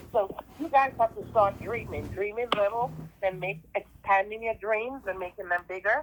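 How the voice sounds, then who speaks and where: A woman speaks with a Jamaican accent at a medium pitch and ordinary pitch variation. Noticeable background noise runs behind her. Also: moderate pace. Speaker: school teacher. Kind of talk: class talk over video call. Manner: halting, many fillers.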